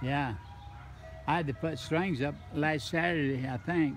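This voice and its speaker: A man with a Midwestern US accent talks in a fairly high pitch. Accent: rural Midwestern American. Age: 80s+. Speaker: gardener. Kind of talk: casual chat. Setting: outdoors.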